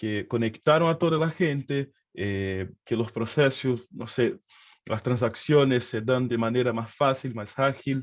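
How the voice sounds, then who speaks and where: A man speaks with a Brazilian accent. His pitch is medium. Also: ordinary pitch variation, fairly slow pace. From Brazil, Rio de Janeiro. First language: Portuguese (speaking Spanish). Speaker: economist. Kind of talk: lecture. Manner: hesitant, with many fillers.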